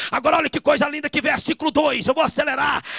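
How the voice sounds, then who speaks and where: A man shouts in an animated tone. The sound is dry and close with no echo, with noticeable background noise. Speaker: evangelist preacher. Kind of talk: sermon.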